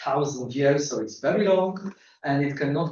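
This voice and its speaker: Somewhat breathy, a man with a Polish accent talks at a moderate pace and medium pitch. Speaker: astronomer. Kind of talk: lecture. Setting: seminar room with audience. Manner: halting, many fillers.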